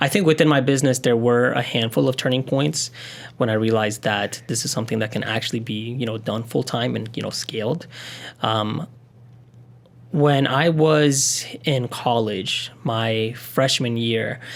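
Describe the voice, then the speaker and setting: Here a man speaks in an ordinary speaking voice at a medium pitch. His pace is moderate, with ordinary pitch variation. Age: 20s. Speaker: wedding videographer and business owner. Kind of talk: podcast interview. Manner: casual with many fillers.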